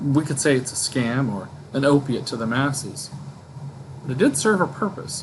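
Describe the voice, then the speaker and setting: A man talks with long, frequent pauses and ordinary pitch variation. Noticeable background noise runs under his voice. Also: fairly high pitch for a man, moderate pace. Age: old. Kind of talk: casual book discussion to camera.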